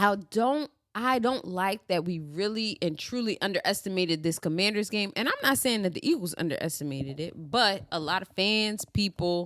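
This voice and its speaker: A woman has an unremarkable speaking voice with a medium pitch. She talks at a moderate pace with lively intonation. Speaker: sports podcast host. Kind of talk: casual chat.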